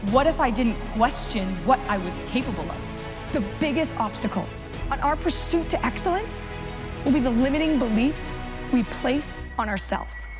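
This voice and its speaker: A woman talks at a moderate speed while music plays behind her. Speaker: motivational keynote speaker. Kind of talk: keynote speech to live audience. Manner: high-energy.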